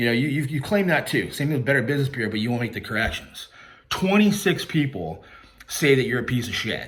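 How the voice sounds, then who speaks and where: Over noticeable background noise, a man speaks loudly at a very fast pace, his medium pitch making very wide swings. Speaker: YouTube commentator and credit repair worker. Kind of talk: callout rant video. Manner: loud and clear; confrontational.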